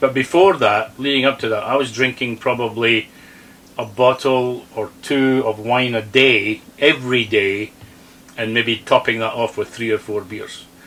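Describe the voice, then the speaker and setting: Fairly slow and fairly even, a man speaks at a medium pitch. He has an ordinary speaking voice. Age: 60s. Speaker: RV vlogger. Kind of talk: casual chat.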